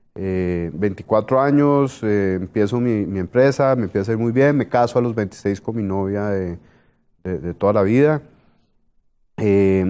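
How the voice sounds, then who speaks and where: A man's dark, mellow voice at a fairly slow pace, with ordinary pitch variation and a quiet background. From Colombia (Bogotá). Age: 40s. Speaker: business executive; guest. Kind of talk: interview. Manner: hesitant, many fillers. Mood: reflective, personal story. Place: studio.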